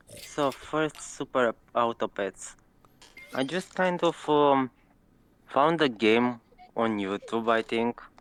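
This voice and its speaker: A man with a Romanian accent speaks at medium pitch with ordinary pitch variation, the sound dry and close with no echo. His pace is very slow, broken by long, frequent pauses. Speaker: competitive gamer. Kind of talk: interview. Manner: halting.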